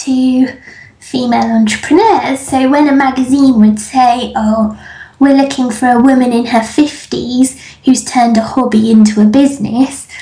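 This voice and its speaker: With an English accent, a woman speaks fairly slowly at a high pitch. Her loudness stays very even and her intonation is fairly even. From England. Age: 30s. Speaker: business coach. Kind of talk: interview. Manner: laughs often.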